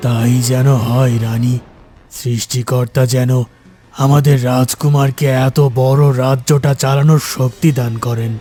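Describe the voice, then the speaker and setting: Using a cartoonish character voice, a man speaks at a medium pitch and a fairly slow pace with monotone, flat intonation. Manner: anxious, mournful.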